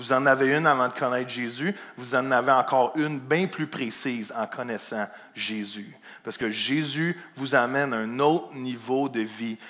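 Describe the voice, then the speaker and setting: At a moderate pace, the speaker uses a bright, sharp tone with a Quebec accent. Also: man, medium pitch for a man, ordinary pitch variation. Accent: Québécois French. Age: 40s. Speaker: pastor. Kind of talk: sermon. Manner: animated.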